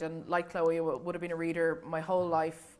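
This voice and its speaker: Speaking in an Irish accent, a woman with a fairly low pitch talks at a fairly quick pace. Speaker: book influencer. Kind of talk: panel talk at library event.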